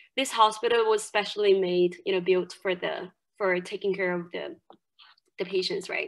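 A woman with a Chinese accent speaks over a quiet background. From China, Jiangxi province. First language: Mandarin Chinese. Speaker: university English lecturer. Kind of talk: lecture. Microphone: webcam.

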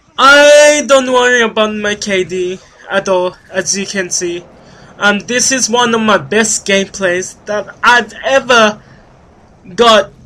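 Raising and projecting his voice, a man speaks at a high pitch. His pace is very slow, with ordinary pitch variation. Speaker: gaming youtuber. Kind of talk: gameplay commentary. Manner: halting, many fillers.

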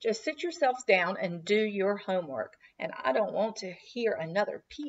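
A natural voice reads aloud, and its intonation is lively.

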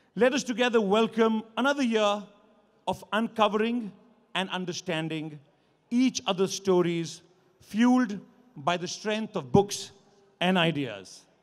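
A high-pitched man, fairly slow pace with long, frequent pauses, ordinary pitch variation, quiet background. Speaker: event host. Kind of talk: formal welcome address. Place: stage. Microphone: podium.

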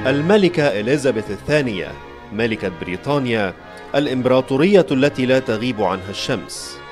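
A man speaks at a moderate pace with lively intonation and a medium pitch. Music plays in the background. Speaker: news anchor and voiceover artist. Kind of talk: documentary narration.

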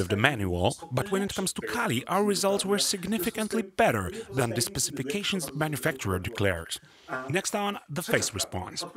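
A man talks at a fairly quick pace with a non-native accent. His pitch swings are very wide. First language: Polish. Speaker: recording studio engineer. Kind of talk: audio gear review voiceover.

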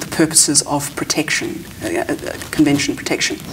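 Over light background noise, a woman with a very deep, low pitch speaks in a monotone, flat intonation at a moderate pace. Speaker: immigration lawyer. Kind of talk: interview. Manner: halting, many repetitions and fillers. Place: studio.

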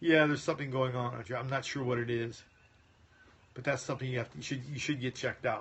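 Words come out at a very fast pace from a man. The intonation holds fairly even throughout. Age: 50s. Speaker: chiropractic health doctor. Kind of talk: live stream Q&A. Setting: phone livestream. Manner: casual. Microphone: phone near.

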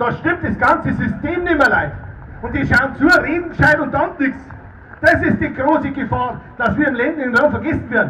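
In a Bavarian accent, a raised, projected voice carries at a fairly quick pace over light background noise. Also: man. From Erding, Bavaria. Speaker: politician, state parliament member. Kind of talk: political rally speech. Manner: fiery, rousing. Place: tent. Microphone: handheld.

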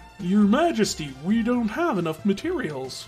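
Putting on a character voice, a man speaks at high pitch with very wide pitch swings at a moderate pace. Clear music plays in the background. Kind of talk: comic overacting. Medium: virtual streamer. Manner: loud, brash.

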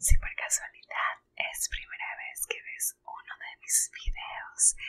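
The pace is very slow as a woman whispers. She is soft-spoken. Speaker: ASMR YouTuber. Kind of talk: casual talk to camera. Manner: whispering, soft-spoken. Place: home room. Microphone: studio mic.

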